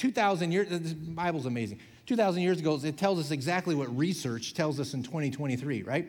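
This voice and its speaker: In a normal speaking voice, a man talks at a fairly quick pace and fairly high pitch with lively intonation and hardly any pauses. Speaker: pastor. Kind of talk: sermon. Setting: church.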